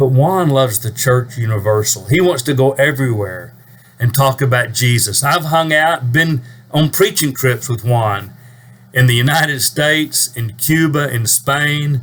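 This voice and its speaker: At a fairly slow pace, a man with a medium pitch and ordinary pitch variation has an unremarkable speaking voice. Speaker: preacher. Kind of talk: casual talk to camera.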